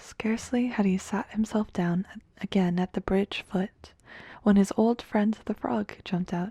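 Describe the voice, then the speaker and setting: A soft-spoken woman's somewhat breathy voice, dark and mellow in tone, at a fairly slow pace, with a dry, close sound with no echo and a very clean recording over a silent background. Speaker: ASMR creator. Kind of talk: fairy tale reading.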